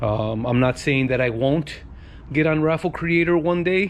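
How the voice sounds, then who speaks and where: Here a man is speaking. He keeps a fairly slow pace. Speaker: car giveaway youtuber. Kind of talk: casual vlog talk to camera. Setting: outdoors in driveway. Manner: halting, many fillers.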